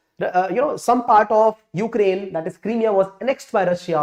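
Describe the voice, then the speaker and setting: A man speaks with ordinary pitch variation. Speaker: exam prep teacher. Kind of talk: lecture. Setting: live stream. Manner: fast.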